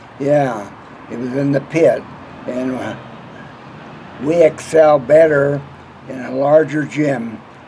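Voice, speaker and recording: Over noticeable background noise, a man with an American accent talks at a very slow pace, with long, frequent pauses, big swings in loudness and fairly even intonation. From Colorado, Windsor. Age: 80s+. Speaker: retired utility worker. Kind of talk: oral history interview. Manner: halting.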